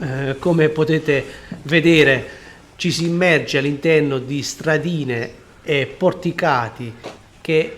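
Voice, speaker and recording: A man with a fairly high voice speaks at a very slow pace, with ordinary pitch variation. He leaves long, frequent pauses. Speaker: travel vlogger. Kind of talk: walking tour vlog narration. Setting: outdoors, walking through old town. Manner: quiet, soft-spoken.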